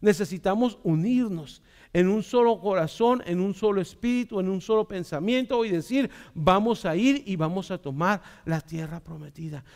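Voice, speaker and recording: Against a quiet background, a man with a high pitch talks at a moderate pace in an animated tone. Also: ordinary pitch variation. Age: 40s. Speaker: pastor. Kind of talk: sermon. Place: church. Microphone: headset.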